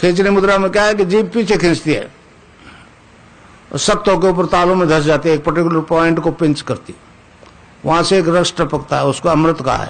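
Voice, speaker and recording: Long, frequent pauses break up a man's high-pitched speech, delivered at a moderate pace with very even loudness and fairly even intonation. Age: 80s+. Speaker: spiritual teacher. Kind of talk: spiritual discourse.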